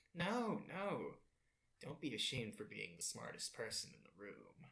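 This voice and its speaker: Putting on a character voice, a man talks at a moderate pace with a fairly high pitch. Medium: actual play. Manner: smooth, flattering.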